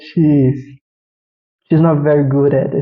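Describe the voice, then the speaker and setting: A non-native accent at a fairly slow pace. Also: man. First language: not English. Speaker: vtuber anime reviewer. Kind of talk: casual review monologue. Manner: halting, with restarts.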